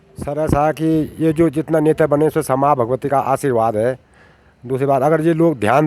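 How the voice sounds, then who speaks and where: In an ordinary speaking voice, a man talks at a moderate pace with a fairly high pitch and fairly even intonation. The sound is dry and close, with no echo. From rural Uttarakhand, India. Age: 60s. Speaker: villager. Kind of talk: interview answers.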